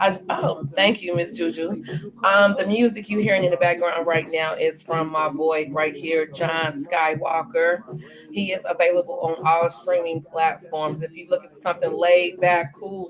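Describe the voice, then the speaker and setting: A fairly low-pitched woman's voice with ordinary pitch variation, set against noticeable background noise. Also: moderate pace. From St. Louis, Missouri. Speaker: talk show host, nurse. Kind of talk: live talk show intro.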